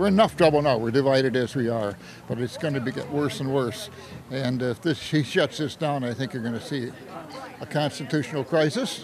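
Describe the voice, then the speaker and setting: Crowd noise fills the background as a man at medium pitch talks at a fairly quick pace with ordinary pitch variation. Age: 70s. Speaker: protester. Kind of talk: news interview soundbite. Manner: halting.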